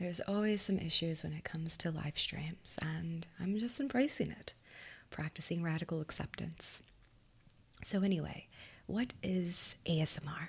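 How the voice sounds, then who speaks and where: Whispering at a fairly slow pace, a woman sounds somewhat breathy and leaves long, frequent pauses. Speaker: hypnotist and meditation guide. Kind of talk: ASMR live stream. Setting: live stream.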